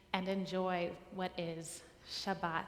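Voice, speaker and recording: A woman's flat, monotone voice with audible room echo. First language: Spanish. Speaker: cantor. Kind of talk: service introduction. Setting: synagogue sanctuary service.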